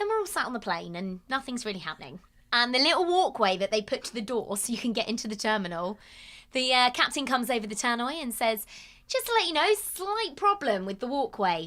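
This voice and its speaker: In a very clean recording with a silent background, a woman with a British accent speaks at a fairly quick pace in a high, bright, sharp voice whose pitch swings very widely. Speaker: podcast co-host. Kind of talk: casual chat.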